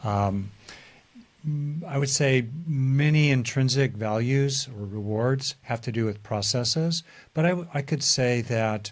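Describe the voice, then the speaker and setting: This man sounds somewhat breathy, with a medium pitch. He speaks at a fairly slow pace with ordinary pitch variation. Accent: American. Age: 70s. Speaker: psychologist. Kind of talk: interview. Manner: hesitant, many fillers.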